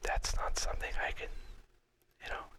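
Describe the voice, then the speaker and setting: Whispering in a relaxed tone. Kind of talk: whispered ASMR talk to camera about personal story. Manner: whispered, relaxed.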